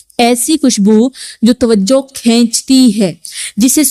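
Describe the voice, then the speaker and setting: The tone is gentle, dark and mellow. Pitch variation is ordinary. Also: woman. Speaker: religious preacher giving a sermon to women. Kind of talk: religious sermon (bayan). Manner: gentle, earnest, admonishing.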